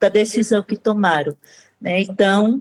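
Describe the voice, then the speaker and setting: A woman speaks with a northeastern Brazilian accent. The sound is dry and close, with no echo. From Northeast Brazil. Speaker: maternity consultant and pro-life activist. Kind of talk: interview. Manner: halting, with frequent fillers.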